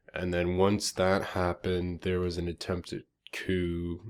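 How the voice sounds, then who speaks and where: The man's voice sits very deep and low in pitch. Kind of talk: casual commentary on online roleplay politics.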